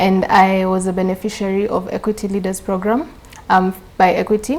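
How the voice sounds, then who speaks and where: Noticeable background noise accompanies a woman whose intonation is fairly even. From Kenya. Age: 20s. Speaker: engineering student. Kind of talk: interview.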